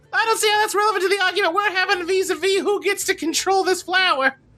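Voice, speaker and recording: In a put-on character voice, a man rattles off words at a very fast pace with an extremely high pitch. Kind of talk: stuffy, formal.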